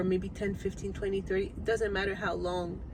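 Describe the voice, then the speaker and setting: A woman's medium-pitched, flat and monotone voice with a non-native accent, amid audible room echo and noticeable background noise. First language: not English. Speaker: vlogger. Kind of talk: casual vlog monologue. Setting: on the way to the gym. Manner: many fillers and hesitations.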